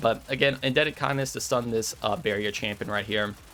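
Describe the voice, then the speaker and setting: Words rush out very fast in a fairly flat, even tone. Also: man. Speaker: gaming youtuber. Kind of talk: gameplay commentary. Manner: stutters often; relaxed, casual.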